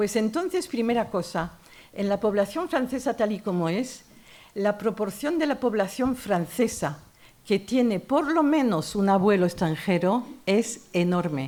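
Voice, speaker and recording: Fairly high-pitched woman with a dark, mellow tone and a French accent, very wide pitch swings and a fairly slow pace. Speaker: author and feminist columnist. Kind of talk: literary talk. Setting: university lecture hall with audience. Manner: animated.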